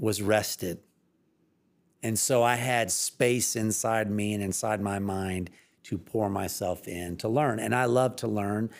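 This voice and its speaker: On a very clean recording with a silent background, a man with an ordinary speaking voice and an American accent talks at fairly low pitch, with fairly even intonation and a fairly slow pace. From Evansville, Indiana, US Midwest. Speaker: water utility executive director. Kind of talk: casual interview.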